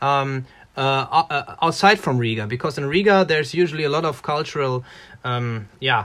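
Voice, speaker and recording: In a German accent, a man speaks at a fairly high pitch. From Germany, Ruhr area. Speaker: musician. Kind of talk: casual interview.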